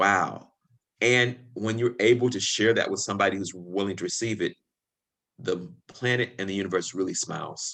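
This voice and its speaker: A man speaks with a slight Southern US accent in a fairly low voice. His tone is bright and sharp, with ordinary pitch variation. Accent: slight Southern drawl. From Chicago, US. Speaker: podcast guest, spiritual practitioner. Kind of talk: casual interview chat. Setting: video call.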